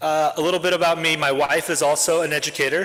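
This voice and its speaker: A man talks over noticeable noise in the background. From Japan, then Oregon from middle school. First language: Japanese. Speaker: school network head, educator. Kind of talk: member self-introduction at club meeting. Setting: club meeting with live audience. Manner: casual, with frequent filler words.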